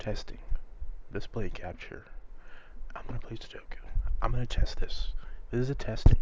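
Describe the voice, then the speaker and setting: The voice is a man's whisper, kept to a moderate pace. Pauses come often and run long. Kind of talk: casual whispered gameplay commentary. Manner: whispered.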